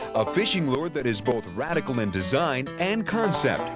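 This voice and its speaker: Very wide pitch swings at a moderate pace over background music. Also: man. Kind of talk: TV commercial read.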